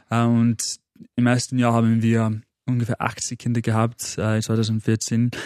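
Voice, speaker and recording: A man's medium-pitched voice with a dark, mellow tone and an English accent, dry and close with no echo, over a quiet background. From northern England, Manchester. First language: English (speaking German). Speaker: motivational coach. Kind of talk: podcast interview. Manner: halting, repeats words.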